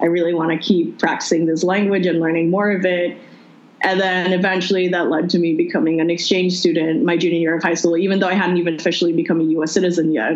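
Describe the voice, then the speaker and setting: Over noticeable background noise, a woman speaks very fast in a fairly low voice, with fairly even intonation and very even loudness. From Philippines. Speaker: interview guest, recent graduate and exchange student. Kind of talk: casual interview conversation. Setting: phone call with poor connection.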